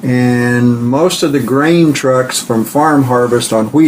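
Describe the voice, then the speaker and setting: Over noticeable background noise and audible room echo, a man with a Midwestern American accent speaks at a very slow pace in a medium pitch. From US Midwest (southeast Kansas). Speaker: grandfather interviewee. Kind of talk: oral history interview.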